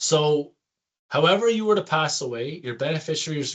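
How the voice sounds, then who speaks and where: A man talks at a fairly quick pace. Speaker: insurance benefits advisor. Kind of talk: product presentation. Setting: screen-share video presentation. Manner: fast.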